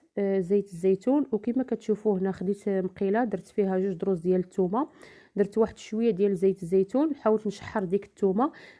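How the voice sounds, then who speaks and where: A woman's dark, mellow voice at medium pitch with ordinary pitch variation and a fairly quick pace, on a very clean recording with a silent background. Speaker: home cook, cooking channel host. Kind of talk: cooking tutorial voice-over. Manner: hesitant fillers.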